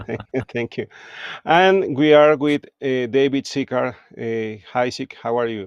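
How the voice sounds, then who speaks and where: A man with a Spanish accent, medium pitch and ordinary pitch variation, at a fairly slow pace, dry and close with no echo against a quiet background. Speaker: podcast host, music producer. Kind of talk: live interview. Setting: live stream.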